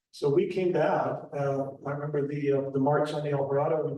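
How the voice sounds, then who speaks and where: A man's fairly high, monotone, flat voice with audible room echo. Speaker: local historian presenter. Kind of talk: public talk with slides.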